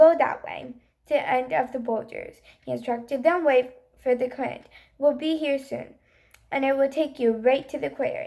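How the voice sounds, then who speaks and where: Using a raspy, put-on character voice, a woman speaks high-pitched at a moderate pace with fairly even intonation. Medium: read story. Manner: grumpy, snappish.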